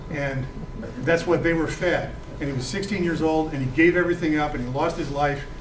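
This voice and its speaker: Amid noticeable background noise and audible room echo, a man with a fairly high pitch talks at a fairly quick pace with fairly even intonation. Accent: American. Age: 60s. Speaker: author and veteran. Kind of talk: lecture Q&A. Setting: talk to a book club audience. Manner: halting, many fillers and repetitions; passionate, indignant.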